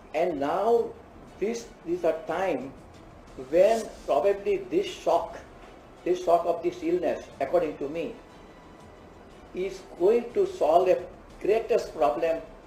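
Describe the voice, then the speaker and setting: Music plays behind a man speaking at a high pitch. He talks very slowly, with long, frequent pauses. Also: ordinary pitch variation. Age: 80s+. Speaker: cardiologist. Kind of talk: interview answer.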